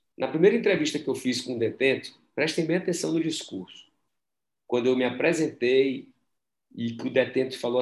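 Ordinary pitch variation shapes a man's speech at a medium pitch. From Brazil. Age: 40s. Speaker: entrepreneurship professor and startup mentor. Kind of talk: casual interview.

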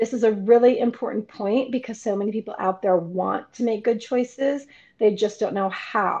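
A woman talks with ordinary pitch variation at a moderate pace, the background quiet. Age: 50s. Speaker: podcast host and fit model. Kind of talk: podcast intro and outro.

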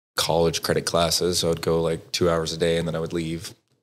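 Very deep and low in pitch, a man with an American accent speaks at a moderate pace on a very clean recording with a silent background. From Southwest Texas. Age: 20s. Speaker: veteran and nonprofit board member. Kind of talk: casual interview, personal story.

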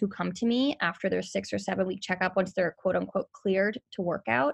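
A woman talks at a fairly quick pace in a New York accent, her medium-pitched voice showing vocal fry. The background is quiet. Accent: New York area. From New Jersey. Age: 30s. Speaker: personal trainer. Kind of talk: casual interview chat.

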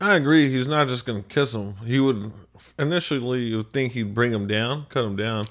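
A man with an American accent and an unremarkable speaking voice talks at a medium pitch. His pace is fairly quick, with ordinary pitch variation. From Barstow, California. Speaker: podcast co-host. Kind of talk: casual chat.

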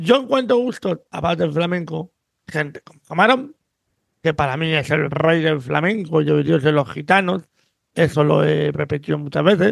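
A plain, everyday voice from a man at fairly high pitch and moderate pace, lively intonation and big swings in loudness, dry and close with no echo. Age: 50s. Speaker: podcast host. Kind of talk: casual chat.

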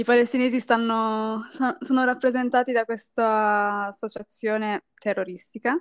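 A woman with an unremarkable speaking voice, fairly high pitch, fairly even intonation and a fairly slow pace. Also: dry, close sound with no echo. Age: 20s. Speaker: university student. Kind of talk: casual chat.

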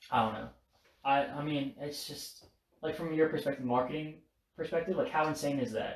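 A man's fairly high, somewhat breathy voice at a fairly quick pace, with ordinary pitch variation. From Alabama, Florida and Louisiana; Korean-American. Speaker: college student podcast co-host. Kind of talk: casual chat. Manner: halting, many fillers.

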